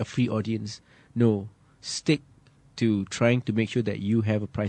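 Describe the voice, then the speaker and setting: A man with a Malaysian accent speaks at a moderate pace and fairly low pitch, with fairly even intonation and long, frequent pauses. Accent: Malaysian English, slightly British. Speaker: singer-songwriter. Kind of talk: radio interview.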